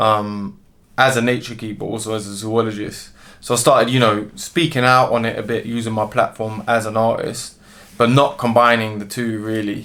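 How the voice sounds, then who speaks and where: The recording is very clean, with a silent background. A man with a London accent speaks at a moderate pace and medium pitch, with fairly even intonation. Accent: London urban. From London, England. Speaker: musician and zoologist. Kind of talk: interview. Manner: casual, hesitant with fillers.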